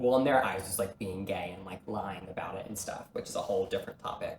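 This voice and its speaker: This is a male speaker. His accent is American. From small-town rural US. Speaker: performer and entrepreneur. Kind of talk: casual chat.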